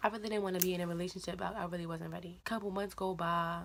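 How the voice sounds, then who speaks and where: Quietly and at a very fast pace, a woman of fairly low pitch speaks with fairly even intonation. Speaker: YouTuber. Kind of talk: storytime vlog. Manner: quiet, low voice; casual, slangy.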